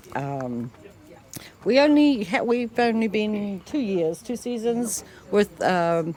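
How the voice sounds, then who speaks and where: Very slow in pace, a woman with a New Zealand accent talks at a fairly high pitch with very wide pitch swings. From New Zealand, Ashburton. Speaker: rugby fan and volunteer. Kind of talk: casual interview chat.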